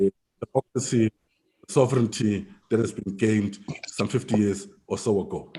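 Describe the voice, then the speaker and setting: A man speaks in a fairly low, dark and mellow voice that is somewhat breathy, with fairly even intonation. He leaves long, frequent pauses, and the sound is dry and close with no echo. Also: moderate pace. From South Africa. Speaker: political party official. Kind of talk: panel talk. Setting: video call.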